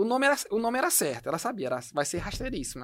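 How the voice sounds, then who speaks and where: A man's voice with very wide pitch swings. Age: 30s. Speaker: entrepreneur, company director. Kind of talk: podcast interview.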